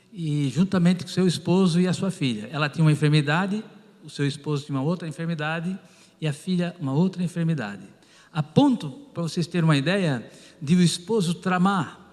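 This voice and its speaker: With ordinary pitch variation and a high pitch, a man keeps to a moderate pace. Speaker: pastor and former pharmacist. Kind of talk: testimony.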